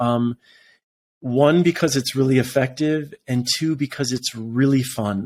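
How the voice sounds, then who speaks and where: A man speaks at a moderate pace and a medium pitch, with ordinary pitch variation. The recording is very clean, with a silent background. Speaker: author and meditation teacher. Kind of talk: interview conversation. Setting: podcast interview. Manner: animated.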